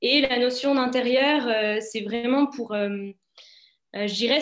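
This woman talks at a high pitch with fairly even intonation. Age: 20s. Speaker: student athlete. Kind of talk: webinar interview. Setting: online webinar.

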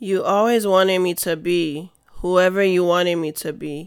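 A woman with a normal speaking voice talks at a fairly slow pace. Her pitch is fairly low and her intonation fairly even. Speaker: spoken word poet and podcast host. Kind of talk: spoken word poetry performance, read aloud. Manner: emotive, rhythmic, introspective.

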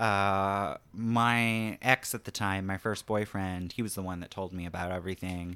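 Bright, sharp tone from a man with an American accent, moderate pace, fairly even intonation, in a very clean recording with a silent background. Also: hardly any pauses. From rural small town, US. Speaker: stand-up comedian. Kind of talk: casual chat. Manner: hesitant, many fillers.

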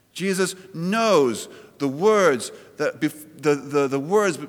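Against noticeable background noise, a man with a fairly high pitch talks with ordinary pitch variation. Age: 40s. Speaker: pastor. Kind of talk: sermon. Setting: church.

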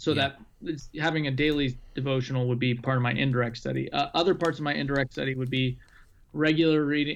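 A man speaks fairly quickly in a fairly high voice. His intonation is flat and monotone. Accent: American. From Arizona, US. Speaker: pastor. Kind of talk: casual chat.

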